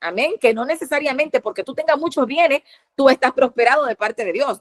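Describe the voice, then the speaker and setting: Recorded dry and close with no echo, a woman talks in a high pitch. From Dominican Republic. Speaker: preacher. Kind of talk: sermon. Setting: online platform. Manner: fast.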